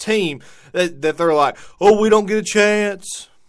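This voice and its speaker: On a very clean recording with a silent background, a man with a high pitch speaks at a fairly slow pace in a raised, projected voice with a bright, sharp tone. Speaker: sports podcast host. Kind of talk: casual commentary monologue. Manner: halting, repeats words.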